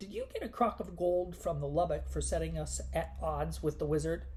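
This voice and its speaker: A gruff, put-on character voice moves at a moderate pace over clear background noise. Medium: read story. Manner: gruff, glowering.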